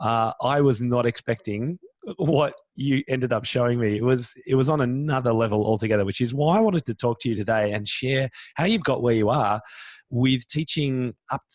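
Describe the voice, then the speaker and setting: In an Australian accent, a man of medium pitch speaks at a moderate pace with an animated tone and ordinary pitch variation. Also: dry, close sound with no echo. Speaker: podcast host. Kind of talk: interview.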